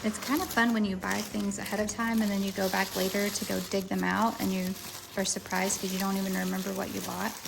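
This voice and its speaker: Noticeable background noise runs under the speech. A woman talks at a fairly quick pace in a Southern US accent. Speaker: lifestyle vlogger. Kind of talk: casual vlog chat.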